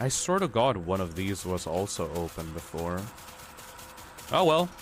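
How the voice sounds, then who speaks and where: Very deep, low male voice with an American accent, lively intonation and a moderate pace, over noticeable background noise. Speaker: streamer. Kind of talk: casual chat during gameplay livestream. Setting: livestream.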